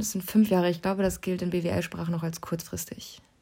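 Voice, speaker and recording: A woman speaks with a dark, mellow tone that is somewhat breathy. Her intonation stays monotone and flat. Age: 20s. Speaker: university student, podcast co-host. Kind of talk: casual chat.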